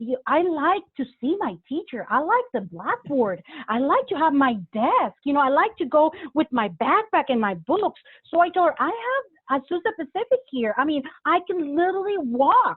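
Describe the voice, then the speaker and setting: A woman with a Spanish accent speaks at a moderate pace in a high voice, her pitch swinging very widely. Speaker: pastor. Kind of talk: interview.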